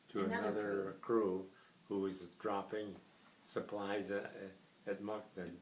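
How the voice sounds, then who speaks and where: Over noticeable background noise, a man with a fairly low pitch speaks at a moderate pace in monotone, flat intonation with long, frequent pauses. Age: 80s+. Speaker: WWII veteran, retired Air Force officer. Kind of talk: interview answer. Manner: soft-spoken.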